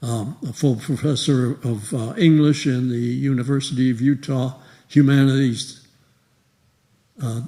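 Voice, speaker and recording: Speaking at a fairly slow pace with long, frequent pauses, a man has a medium pitch, a dark, mellow tone and fairly even intonation. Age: 80s+. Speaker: retired professor and church member. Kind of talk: speech to congregation. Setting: church. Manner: halting, with many fillers.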